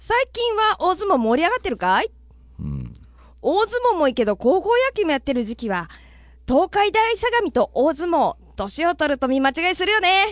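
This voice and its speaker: A woman speaks at an extremely high pitch and a moderate pace, with very wide pitch swings. The sound is dry and close, with no echo. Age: 40s. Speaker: comedian and radio personality. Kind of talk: casual chat.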